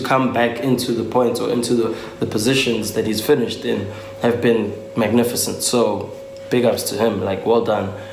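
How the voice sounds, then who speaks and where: A man talks at a moderate pace, with audible echo from the room and noticeable noise behind him. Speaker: motoring YouTuber. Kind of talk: casual vlog talk. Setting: at home on a couch. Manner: hesitant, many filler ums.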